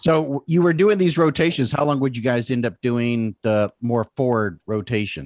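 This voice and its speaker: A man with a plain, everyday voice speaks in an American accent with lively intonation. He barely pauses. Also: medium pitch for a man, moderate pace, dry, close sound with no echo. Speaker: podcast host. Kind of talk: casual interview chat.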